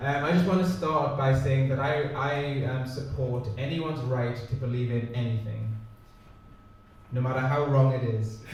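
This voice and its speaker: Against noticeable background noise and audible room echo, a man speaks at a moderate pace with a medium pitch and fairly even intonation. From northern England, Newcastle. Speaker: comedian. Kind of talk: stand-up.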